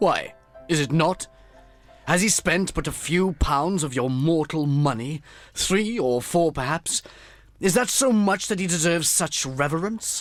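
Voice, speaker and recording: Faint music plays behind a man doing a put-on character voice. He speaks at a moderate pace in a high pitch. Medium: audio drama.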